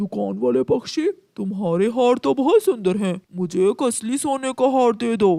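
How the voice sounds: A man puts on a cartoonish character voice at a high pitch, with lively intonation and a moderate pace.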